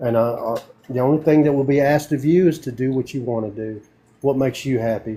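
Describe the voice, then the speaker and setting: Speaking very fast in a Southern US accent, a man has a medium-pitched, dark and mellow voice with ordinary pitch variation. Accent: country Southern. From US South, northeast Tennessee (Morristown). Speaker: army veteran planning a rural sanctuary. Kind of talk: casual chat.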